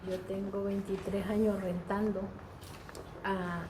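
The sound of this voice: Soft-spoken at a medium pitch, a woman talks at a fairly slow pace amid strong room echo.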